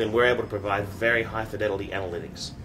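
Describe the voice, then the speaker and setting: A man talks at a very fast pace in an Australian accent with ordinary pitch variation. Audible room echo is heard. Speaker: startup founder and CEO. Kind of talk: interview.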